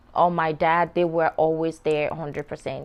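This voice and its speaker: A woman speaks with a Sierra Leonean accent at a fairly slow pace. The background is quiet. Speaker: show host. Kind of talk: personal storytelling to camera.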